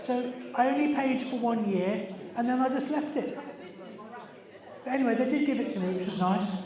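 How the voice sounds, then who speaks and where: A man with a southern English accent talks at a moderate pace in an extremely high voice, with ordinary pitch variation and long, frequent pauses. Audible room echo and noticeable background noise fill the recording. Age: 60s. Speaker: environmental campaigner. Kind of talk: party quiz hosting. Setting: party with audience. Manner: animated.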